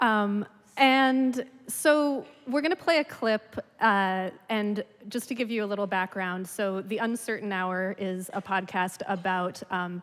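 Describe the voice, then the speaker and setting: Speaking fairly slowly in a normal speaking voice, a woman keeps a medium pitch with ordinary variation. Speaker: radio reporter and podcast host. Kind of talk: conference presentation talk.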